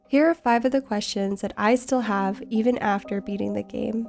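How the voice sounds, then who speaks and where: Music plays in the background as a woman speaks. Her pitch sits fairly high, with ordinary variation. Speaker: video game lore narrator. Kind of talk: game lore narration.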